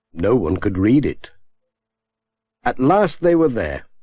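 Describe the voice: A man's fairly low-pitched voice with a dark, mellow tone, a slightly husky edge, big pitch swings and a slow pace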